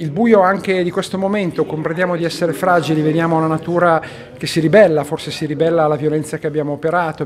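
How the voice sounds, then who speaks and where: A man at a very fast pace, ordinary pitch variation, light background noise. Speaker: priest. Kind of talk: interview answer. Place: meeting room. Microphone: handheld.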